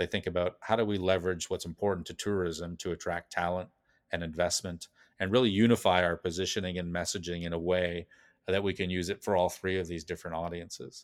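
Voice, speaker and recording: Very fast and flat in a monotone, a man with a Canadian accent speaks in a very deep, low pitch, captured in a very clean recording with a silent background and a dry, close sound with no echo. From Calgary, Alberta, Canada. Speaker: place branding consultant. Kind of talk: interview.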